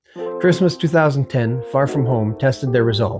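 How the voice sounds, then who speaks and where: With music in the background, the speaker talks at a moderate pace with lively intonation. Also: man. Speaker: former army reservist. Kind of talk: documentary narration.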